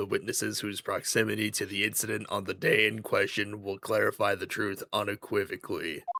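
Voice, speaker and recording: Using a put-on character voice, a man talks at a fairly quick pace with hardly any pauses. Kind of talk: formal courtroom speech. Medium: game stream. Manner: stiff, formal.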